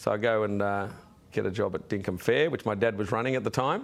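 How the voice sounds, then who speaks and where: A man with an Australian accent at a fairly quick pace with fairly even intonation. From Sydney, Australia. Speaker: businessman. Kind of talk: interview.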